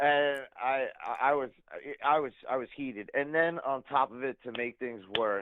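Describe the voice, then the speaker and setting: A man with a Long Island accent talks at a medium pitch with fairly even intonation. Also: moderate pace. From Long Island, New York. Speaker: sports fan. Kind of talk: casual chat.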